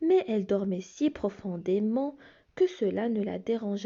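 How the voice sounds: This natural reading voice carries lively intonation.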